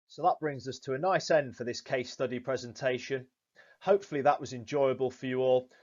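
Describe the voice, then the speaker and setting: A man with a Yorkshire accent, medium pitch and a fairly quick pace. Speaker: fishery manager. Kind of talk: prepared presentation. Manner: formal.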